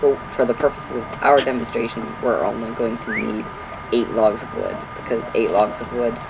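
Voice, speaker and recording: A man talks at a fairly slow tempo while noticeable noise fills the background. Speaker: gaming video creator. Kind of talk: gameplay tutorial. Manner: stuttering, hyper.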